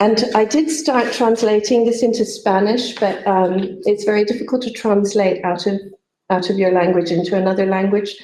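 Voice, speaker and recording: A woman speaks in a dark, mellow tone at medium pitch with ordinary pitch variation. Her pace is moderate and her loudness very even. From Pakistan (Karachi) until age 10, then Canada. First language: Urdu. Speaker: poet. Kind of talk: panel discussion. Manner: halting, many fillers.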